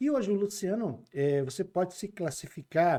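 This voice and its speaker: Lively in intonation, a man with a dark, mellow tone talks at a moderate pace. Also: very clean recording, silent background. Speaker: podcast host. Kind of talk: interview. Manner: casual.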